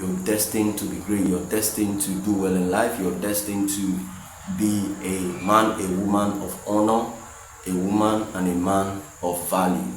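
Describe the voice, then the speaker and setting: A man with a Nigerian accent speaks at a moderate pace in a fairly low voice with fairly even intonation, with music in the background and audible room echo. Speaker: motivational vlogger, software developer. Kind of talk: motivational monologue. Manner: halting, with fillers and repetitions.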